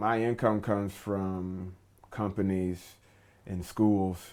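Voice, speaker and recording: The speaker is a man. His intonation is flat and monotone. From US South, Atlanta, Georgia. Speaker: actor and English teacher. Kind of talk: interview. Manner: hesitant, many fillers.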